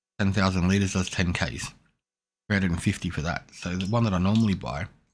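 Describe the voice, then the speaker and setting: Quiet and very deep, a man with an Australian accent speaks at a very fast pace in a very clean recording with a silent background. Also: ordinary pitch variation. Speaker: gaming streamer. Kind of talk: gameplay commentary. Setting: home, son asleep nearby. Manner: quiet, subdued.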